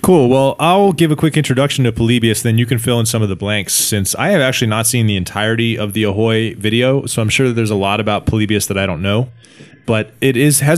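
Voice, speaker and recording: A man at a very fast pace, medium pitch and ordinary pitch variation, with noticeable background noise. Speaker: podcast host. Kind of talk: casual chat. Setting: lives in China.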